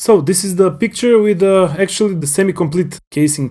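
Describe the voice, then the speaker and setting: A man's dark, mellow voice with a non-native accent, in a very clean recording with a silent background. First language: not English. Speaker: hobbyist YouTuber. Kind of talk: tutorial. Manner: halting.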